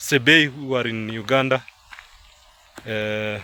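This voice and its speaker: Speaking very slowly with a Kenyan accent, a man keeps a medium pitch and fairly even intonation over noticeable background noise. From Kenya, Kalenjin (Kipsigis) area. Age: 20s. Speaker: vlogger. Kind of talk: casual vlog narration outdoors. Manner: halting, many fillers and repeats.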